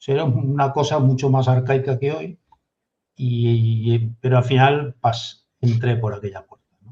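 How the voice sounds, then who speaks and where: Somewhat breathy and dark, mellow in tone, a man speaks at a moderate pace and medium pitch with ordinary pitch variation. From Galicia, Spain (Redondela). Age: 60s. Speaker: retired navy officer. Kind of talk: interview.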